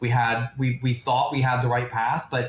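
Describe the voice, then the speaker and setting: With a somewhat breathy voice at medium pitch, a man speaks at a moderate pace. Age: 50s. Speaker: private equity founder and investor. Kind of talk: podcast interview. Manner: animated.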